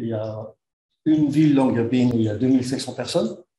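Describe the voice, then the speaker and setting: A man's dark, mellow voice at medium pitch, fairly quick pace, fairly even intonation and audible room echo. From Netherlands. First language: Dutch (speaking French). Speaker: engineer and expedition organizer. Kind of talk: conference talk. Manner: halting.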